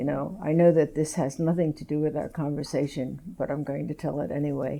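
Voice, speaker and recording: Very deep and low for a woman, her voice has a dark, mellow tone and vocal fry. She speaks at a fairly quick pace in a monotone, flat intonation. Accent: American. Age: 80s+. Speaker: gallery owner and curator. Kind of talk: public conversation.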